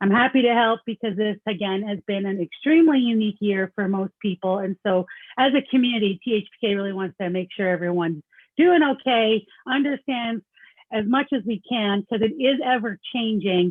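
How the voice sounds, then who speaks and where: A woman speaks at a fairly quick pace with a fairly high pitch and ordinary pitch variation. She has a slight Canadian accent. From Canada. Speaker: accountant. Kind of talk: presentation. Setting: video call.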